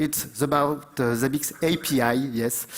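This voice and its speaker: This man speaks with a French accent. His pitch sits fairly high. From France. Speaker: conference speaker, IT company founder. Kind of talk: conference talk. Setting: stage with audience. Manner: halting, many fillers.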